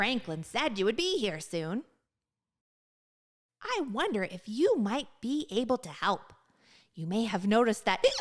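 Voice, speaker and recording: A put-on character voice at a fairly high pitch and moderate pace, broken by long, frequent pauses. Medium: read story. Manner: chatty, excitable, addresses listener directly.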